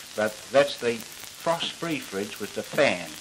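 A man's pitch varies in an ordinary way while noticeable noise runs in the background. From Australia. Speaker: appliance salesman. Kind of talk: vintage TV commercial, interview-style. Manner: relaxed, chatty, slightly unscripted. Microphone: handheld.

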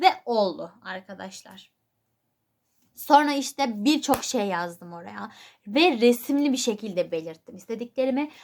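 A woman speaks at a fairly slow pace in a fairly high voice. Her pitch swings very widely and her loudness varies greatly. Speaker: YouTuber. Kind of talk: casual vlog talk.

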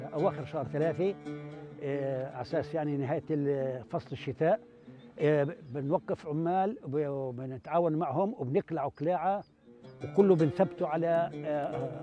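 Against clear background music and a dry sound with no echo, a man with a Palestinian accent speaks at a fairly slow pace, fairly high in pitch, with ordinary pitch variation. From Palestine, West Bank. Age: 70s. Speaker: olive farmer. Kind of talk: interview answer. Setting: outdoors. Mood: calm, content. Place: open country.

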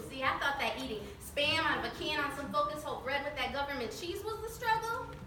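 A woman's high-pitched, raised, projected voice with very wide pitch swings, a fairly quick pace and hardly any pauses, amid audible room echo and noticeable background noise. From Mexican American. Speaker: motivational speaker. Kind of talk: spoken word poetry performance. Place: hall. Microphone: camera far.

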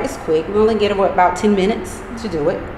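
Over noticeable background noise, a woman with an eastern North Carolina accent talks at a moderate pace with ordinary pitch variation. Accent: eastern North Carolina Southern. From US South, eastern North Carolina (Pitt County). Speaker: project founder. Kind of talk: interview.

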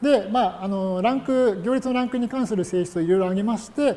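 The man talks fairly quickly, his intonation lively. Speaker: university lecturer. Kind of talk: lecture. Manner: many filler words.

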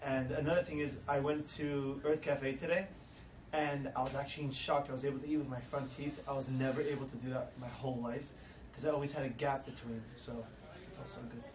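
At a fairly quick pace, a man speaks at medium pitch with little pitch movement, and audible room echo surrounds his voice.

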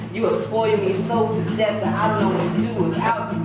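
Loud background noise runs through the clip. There is also audible room echo. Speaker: spoken word poet. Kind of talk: freestyle spoken word poetry at open mic. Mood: romantic, rhythmic, expressive. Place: home room. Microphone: camera far.

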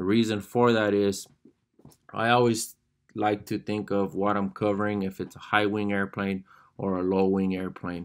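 In a monotone, flat intonation, a man speaks at a moderate pace with a fairly low pitch. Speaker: fabric covering instructor. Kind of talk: tutorial. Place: workshop. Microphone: phone near.

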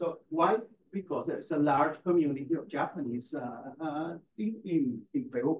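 This man has a fairly high pitch and a Spanish accent. His intonation is lively. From Caribbean, Latin America. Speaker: university lecturer. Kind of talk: lecture. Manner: halting.

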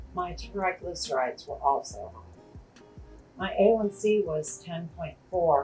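Over music in the background, a woman speaks at a very slow pace with big swings in loudness. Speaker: diabetes channel host. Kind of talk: reading a viewer's testimony aloud.

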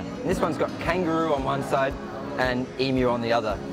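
Clear music plays in the background while a man talks at a fairly quick pace. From Brisbane, Australia. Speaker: bilingual tour guide and MC. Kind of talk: tour guide talk to camera. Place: street. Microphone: lapel.

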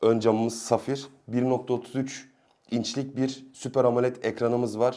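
A man speaks fairly slowly in a medium pitch with a dark, mellow tone and monotone, flat intonation. The recording is very clean, with a silent background. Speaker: tech YouTuber. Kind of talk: product review. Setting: home.

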